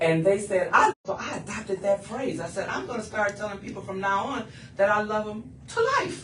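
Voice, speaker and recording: Talking at a fairly quick clip over noticeable background noise, a woman with a medium-pitched voice sounds animated, her loudness swinging widely while her pitch varies in an ordinary way. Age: 70s. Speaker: stand-up comedian. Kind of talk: radio interview.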